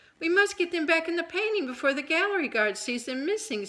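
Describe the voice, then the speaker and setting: A woman's squeaky, put-on character voice, extremely high in pitch with very wide pitch swings, at a very fast pace. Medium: read story.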